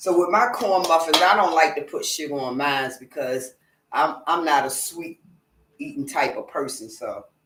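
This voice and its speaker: An American accent at a moderate pace, with very wide pitch swings and big swings in loudness. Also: woman, fairly low pitch for a woman. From Norfolk, Virginia, US South. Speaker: home cook vlogger. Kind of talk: casual cooking livestream. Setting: home kitchen, live stream.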